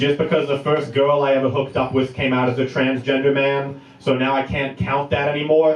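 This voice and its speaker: A man talks at a fairly quick pace with hardly any pauses, his pitch fairly high. His intonation is monotone and flat, with noticeable background noise behind him. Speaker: stand-up comedian. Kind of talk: stand-up.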